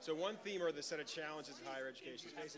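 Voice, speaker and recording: Over noticeable background noise and audible room echo, a man talks at a very fast pace. His pitch is fairly high, with ordinary variation. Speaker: foundation program officer, panel moderator. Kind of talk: conference panel introduction. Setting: conference hall, near noisy hallway. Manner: projecting.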